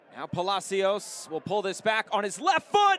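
A man's excited tone at a fairly slow pace, very wide pitch swings, dry, close sound with no echo, and noticeable background noise. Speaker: match commentator. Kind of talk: live sports commentary. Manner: rising excited intensity on goals.

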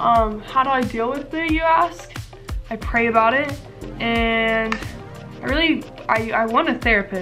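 Over clear music in the background, a woman with an American accent speaks at a fairly high pitch with ordinary pitch variation. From Mississippi, USA. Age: 20s. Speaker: beauty vlogger. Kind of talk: casual talk to camera. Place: home room.

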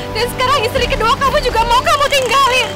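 Faint music plays behind a woman speaking at a very fast pace. Her voice is raised and projected. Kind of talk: acted drama dialogue. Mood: distressed, pleading then angry. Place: street.

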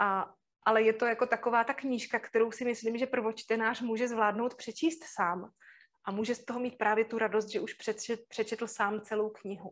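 Speaking at a moderate pace, a woman has an unremarkable speaking voice pitched fairly high. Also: fairly even intonation. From Moravia, Czech Republic (Zábřeh); Moravia, Czech Republic. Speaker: university lecturer in drama education. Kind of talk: webinar lecture. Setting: online webinar broadcast. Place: home room. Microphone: webcam.

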